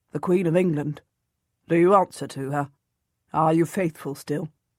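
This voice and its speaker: A man puts on a character voice with a fairly high pitch, speaking quietly. The recording is very clean, with a silent background. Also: moderate pace, fairly even intonation. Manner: lowered, hushed, secretive.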